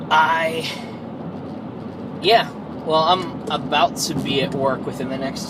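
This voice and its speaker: A man's pitch moves in a typical way, with clear background noise behind him. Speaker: vlogger. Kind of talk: casual vlog monologue. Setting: in a car, driving to work. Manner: frequent filler words (um).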